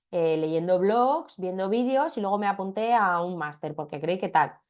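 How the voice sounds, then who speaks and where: The woman's medium-pitched voice has ordinary pitch variation, with a quiet background. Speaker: marketing trainer. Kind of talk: webinar lecture. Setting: video call. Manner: fast.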